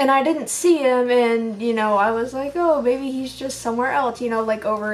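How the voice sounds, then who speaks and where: Against noticeable background noise and audible room echo, a woman talks at a moderate pace with a fairly high pitch and ordinary pitch variation. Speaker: reptile pet keeper vlogger. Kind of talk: casual vlog monologue. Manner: rambling with many fillers.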